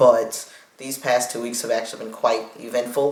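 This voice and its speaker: A man speaks at a medium pitch amid noticeable background noise and audible room echo. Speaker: vlogger. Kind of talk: video diary. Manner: uneven pitch and volume.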